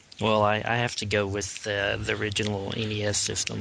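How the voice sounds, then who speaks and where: A man speaks at a moderate pace in a monotone, flat intonation. Noticeable background noise sits behind him. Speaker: podcast co-host. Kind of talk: casual group chat about pop culture.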